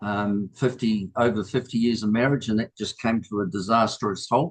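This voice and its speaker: A man speaks in a New Zealand accent at a medium pitch. His pace is moderate and his intonation fairly even. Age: 70s. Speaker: new group member. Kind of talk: personal introduction. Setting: video call. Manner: halting.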